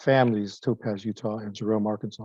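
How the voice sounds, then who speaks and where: The speaker talks at a fairly quick pace with fairly even intonation in a West Coast American accent. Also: man. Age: 60s. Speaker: retired pastor. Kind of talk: oral history interview.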